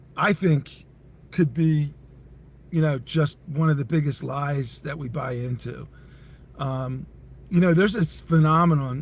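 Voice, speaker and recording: Somewhat breathy, a man talks at a fairly slow pace with fairly even intonation. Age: 60s. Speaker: entrepreneur and company CEO. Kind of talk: podcast interview.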